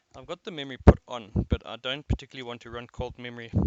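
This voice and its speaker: A man at medium pitch speaks at a very fast pace with fairly even intonation. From South Africa. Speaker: competitive overclocker streaming a session. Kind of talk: live stream commentary, thinking aloud. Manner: mumbling at times; casual, halting with fillers.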